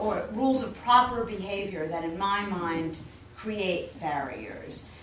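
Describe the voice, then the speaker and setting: A woman with an East Coast US accent, medium pitch and lively intonation, with audible room echo and noticeable background noise. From US East Coast. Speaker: novelist. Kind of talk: audience Q&A at book event. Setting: bookstore event with audience.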